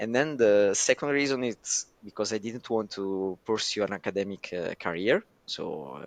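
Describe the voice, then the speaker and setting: A man's fairly low voice with an Italian accent, ordinary pitch variation and a fairly slow pace. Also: dry, close sound with no echo. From southern Italy, Naples. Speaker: data scientist. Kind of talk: podcast interview. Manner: hesitant, many fillers.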